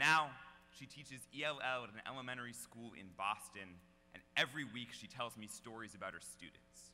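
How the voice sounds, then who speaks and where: Over music in the background, a man speaks at a moderate pace with a medium pitch and ordinary pitch variation. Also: big swings in loudness. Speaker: slam poet. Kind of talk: slam poetry performance.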